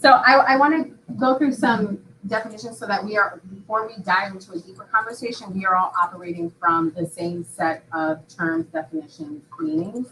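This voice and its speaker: This woman speaks at a moderate pace with an American accent, her medium-pitched voice showing lively intonation and big swings in loudness over noticeable background noise. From Upstate New York. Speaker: professor. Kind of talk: conference talk.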